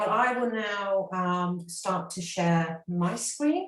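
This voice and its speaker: A woman with a British accent speaks at a medium pitch with ordinary pitch variation. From England, London. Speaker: university marketing staff. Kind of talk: webinar presentation.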